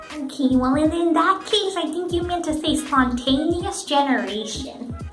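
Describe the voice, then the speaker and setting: A put-on character voice, high-pitched, at a moderate pace over clear background music. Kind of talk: comic overacting. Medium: comedy sketch. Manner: smug, laughing at own remarks.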